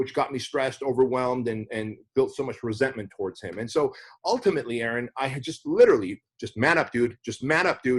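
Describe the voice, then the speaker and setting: A man talks at a fairly quick pace with hardly any pauses, his medium pitch showing ordinary variation. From Armenia/Soviet Union, raised in US from age 6. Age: 40s. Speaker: entrepreneur and business coach. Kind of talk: podcast interview. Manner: passionate, intense.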